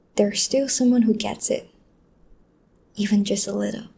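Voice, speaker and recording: Somewhat breathy, with a dark, mellow tone, the voice keeps a moderate pace. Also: woman. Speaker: voice actor / audio creator. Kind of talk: soft-spoken comforting talk to the listener, ASMR-style. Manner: soft, calming, consoling.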